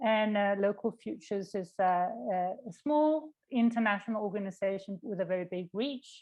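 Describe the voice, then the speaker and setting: A woman with a Danish accent speaks at a medium pitch with lively intonation and hardly any pauses. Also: moderate pace. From Denmark. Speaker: nonprofit worker. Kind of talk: workshop presentation. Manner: halting.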